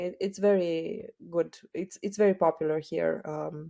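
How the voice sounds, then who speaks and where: Against a quiet background, a woman with a dark, mellow tone and fairly low pitch speaks at a fairly slow pace with ordinary pitch variation. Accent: Romanian. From Romania. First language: Romanian. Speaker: e-commerce entrepreneur. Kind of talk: podcast interview. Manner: halting, many fillers.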